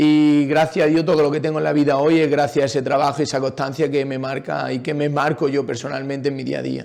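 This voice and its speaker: A fairly high-pitched man rushes along at a very fast pace with hardly any pauses and monotone, flat intonation. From Andalusia, Jaén province. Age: 30s. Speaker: retired footballer and PE teacher. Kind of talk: interview. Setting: podcast recording.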